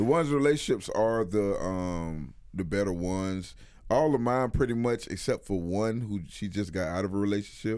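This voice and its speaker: A man's fairly low-pitched voice with lively intonation, at a moderate pace. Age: 30s. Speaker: podcast host. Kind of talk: casual chat. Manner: animated.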